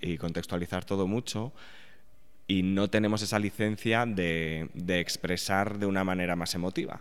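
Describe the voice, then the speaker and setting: A man with a very deep, low pitch talks at a moderate pace with fairly even intonation, captured in a very clean recording with a silent background. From Spain, Aragon. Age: 30s. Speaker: journalist and sociologist, author. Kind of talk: interview.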